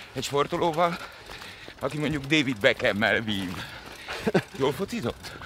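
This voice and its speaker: A man speaks at a moderate pace with a medium pitch, and there is noticeable background noise. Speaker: podcast host. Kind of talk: casual interview while running. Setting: outdoors, running.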